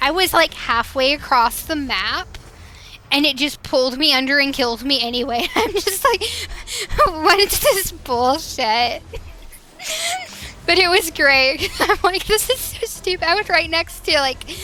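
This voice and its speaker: A woman with a high voice and a Northwestern US accent speaks in a raised, projected voice at a fairly slow pace, her pitch swinging very widely, with long, frequent pauses and noticeable background noise. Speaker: streamer. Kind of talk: casual gaming livestream chat. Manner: chatty, hesitant with fillers.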